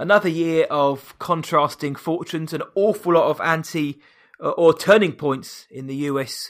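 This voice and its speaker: On a very clean recording with a silent background, a man with a British accent speaks at a moderate pace with ordinary pitch variation. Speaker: podcast host. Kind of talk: casual chat.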